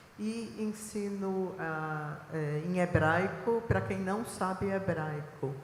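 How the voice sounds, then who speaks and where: A woman speaks with a Recife accent. Audible room echo and noticeable background noise surround her voice. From Israel (born in Recife, Brazil). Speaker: biblical archaeologist and professor. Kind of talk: panel talk. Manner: hesitant fillers.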